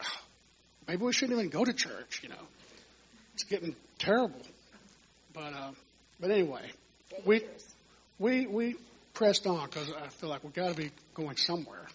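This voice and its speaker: Over noticeable background noise, a man talks at a fairly quick pace with lively intonation, big swings in loudness and long, frequent pauses. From Texas (Houston). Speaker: church minister, musician. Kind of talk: testimony.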